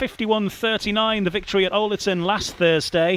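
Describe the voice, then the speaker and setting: A man keeps his intonation fairly even while noticeable background noise lingers. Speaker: podcast host. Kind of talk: sports podcast presenting. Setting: live on location at a speedway stadium.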